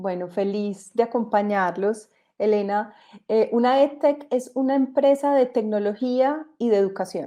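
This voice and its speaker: Over a quiet background, a woman with a dark, mellow tone and fairly high pitch speaks at a fairly slow pace. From Colombia. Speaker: entrepreneur, company co-founder. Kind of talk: panel discussion in online event.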